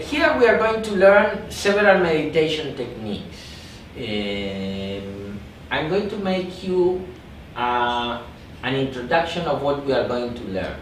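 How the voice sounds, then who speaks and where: With a Spanish accent, a man at a fairly high pitch talks at a fairly slow pace with very wide pitch swings. Noticeable background noise and audible room echo fill the recording. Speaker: meditation teacher. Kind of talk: workshop talk. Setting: meditation retreat with small group.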